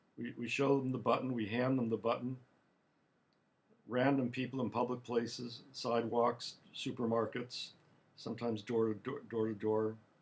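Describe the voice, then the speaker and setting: A man speaks at a medium pitch with monotone, flat intonation. His moderate pace is broken by long, frequent pauses. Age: 70s. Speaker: author and political activist. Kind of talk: monologue talk. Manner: halting, repeats words.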